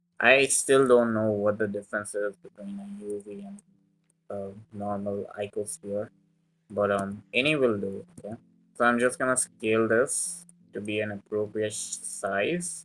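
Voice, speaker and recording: A fairly low-pitched man at a fairly slow pace, with ordinary pitch variation, big swings in loudness and music in the background. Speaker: 3D modelling tutorial creator. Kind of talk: tutorial. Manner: casual with many fillers.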